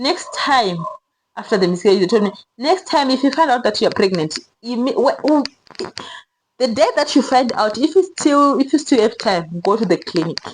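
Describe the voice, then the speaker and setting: Her pitch is high and swings very widely as this woman speaks at a moderate pace. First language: not English. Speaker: vlogger sharing personal story. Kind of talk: personal testimony. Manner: casual, conversational.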